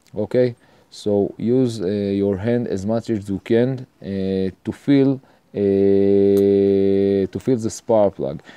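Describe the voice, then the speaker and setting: Here a man speaks at a very slow pace. He has an Israeli accent and fairly even intonation. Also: fairly low pitch for a man. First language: Hebrew. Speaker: home mechanic tutorial maker. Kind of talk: tutorial. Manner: halting, many fillers.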